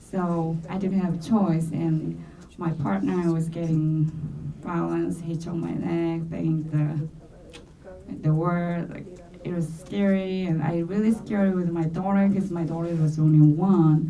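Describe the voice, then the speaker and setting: A woman with a Korean accent, a fairly low pitch and fairly even intonation at a fairly slow pace, amid audible room echo and noticeable background noise. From South Korea. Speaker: domestic violence survivor. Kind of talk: testimony. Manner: halting.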